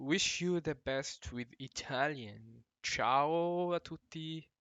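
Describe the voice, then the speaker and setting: In a non-native accent, the speaker goes at a very slow pace with ordinary pitch variation. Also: man. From Morocco. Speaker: language teacher. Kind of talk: video introduction. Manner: halting, many fillers.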